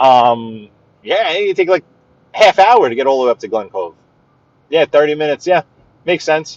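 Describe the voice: With lively intonation, a man speaks at a fairly high pitch in a dry, close sound with no echo. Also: moderate pace.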